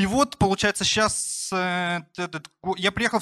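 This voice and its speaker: A man's raised, projected voice, high in pitch and bright and sharp in tone, with a dry, close sound and no echo. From rural Russia. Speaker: entrepreneur, barbershop founder. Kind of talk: personal storytelling talk. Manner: casual, many fillers.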